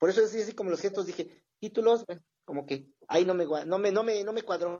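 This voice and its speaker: A man's voice sits high in pitch, moving at a fairly quick pace with ordinary pitch variation. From Toluca, Mexico. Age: 40s. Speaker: football supporters' group member. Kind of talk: casual chat.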